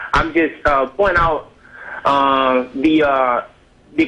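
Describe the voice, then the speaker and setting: A man speaks at a fairly slow pace. Noticeable background noise sits under his voice. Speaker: call-in show caller. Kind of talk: phone call to live show. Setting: phone line. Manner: hesitant, halting.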